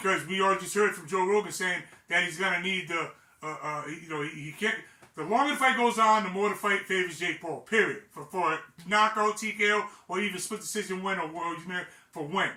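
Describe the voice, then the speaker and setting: A man talks in a raised, projected voice at a high pitch, his tone animated and his pitch variation ordinary. He keeps a fairly quick pace over noticeable background noise. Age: 60s. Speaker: boxing commentator, former fighter. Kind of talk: casual commentary monologue. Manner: halting, many repetitions.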